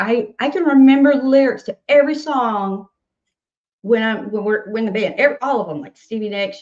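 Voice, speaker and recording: This woman talks at a fairly quick pace with a Southern accent. Her fairly high voice has lively intonation. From US South, Nashville, Tennessee. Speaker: singer-songwriter. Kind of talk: casual interview chat.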